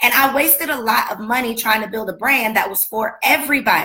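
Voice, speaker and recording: Shouting in a raised, projected voice, a woman with an American accent speaks in an animated, passionate tone. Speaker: business coach and speaker. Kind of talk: motivational talk on a livestream. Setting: Facebook and Instagram live video. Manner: animated, passionate, often yelling.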